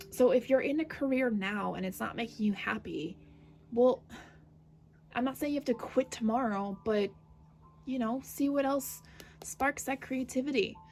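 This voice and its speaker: With music playing in the background, the speaker keeps a moderate pace and ordinary pitch variation, leaving long, frequent pauses. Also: woman, high pitch for a woman. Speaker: tarot reader. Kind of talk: tarot reading. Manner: hesitant, many fillers.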